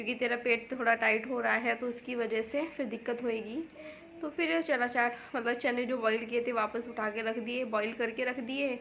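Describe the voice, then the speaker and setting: Against noticeable background noise, a woman with a high voice speaks at a moderate pace and fairly even intonation. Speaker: home vlogger. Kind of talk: casual vlog talk. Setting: home kitchen.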